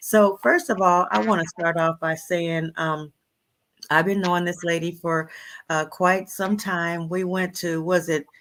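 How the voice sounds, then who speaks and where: In a very clean recording with a silent background, a woman with a fairly low voice speaks at a fairly slow pace with fairly even intonation. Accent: American. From San Diego, California. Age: 60s. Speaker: talk show host. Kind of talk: interview.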